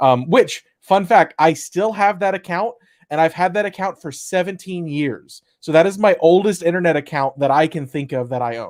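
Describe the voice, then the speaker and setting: Hardly pausing, a man with a high pitch and ordinary pitch variation comes through in a very clean recording with a silent background. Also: moderate pace. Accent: American. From Texas, Austin. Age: 20s. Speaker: developer advocate, co-host. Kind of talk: casual chat.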